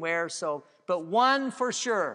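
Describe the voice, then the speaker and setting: Lively intonation and a bright, sharp tone mark this man's high-pitched voice. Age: 60s. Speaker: pastor. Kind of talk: sermon. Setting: church.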